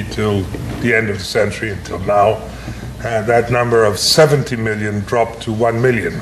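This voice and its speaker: At a moderate pace and medium pitch, a man talks amid audible room echo and noticeable background noise. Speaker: professor. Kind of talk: lecture. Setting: breakfast lecture to an audience. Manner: hesitant, with many fillers and restarts.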